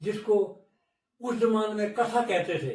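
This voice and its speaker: This man speaks in a high voice. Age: 70s. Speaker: elder storyteller. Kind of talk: interview. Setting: studio.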